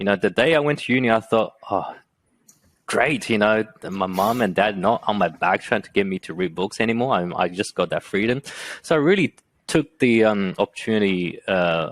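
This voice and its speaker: The recording of this man with a Chinese accent is very clean, with a silent background and a dry, close sound with no echo. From China, Shanghai. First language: Mandarin Chinese. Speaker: entrepreneur and engineer. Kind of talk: podcast interview. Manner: halting, many fillers.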